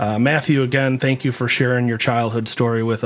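At a medium pitch and with fairly even intonation, a man talks in an unremarkable speaking voice. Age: 50s. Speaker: podcast host. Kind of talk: interview.

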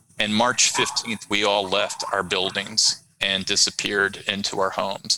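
A man's fairly low, monotone voice with flat intonation, very even loudness and an American accent, over noticeable background noise. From US Midwest (Chicago suburbs, Iowa). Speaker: HR executive. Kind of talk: casual interview.

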